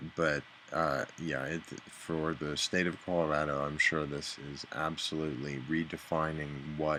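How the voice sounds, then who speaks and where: A man's very deep, low voice, bright and sharp in tone, fairly slow and flat in intonation. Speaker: vlogger. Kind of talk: casual video diary. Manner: halting, mumbling.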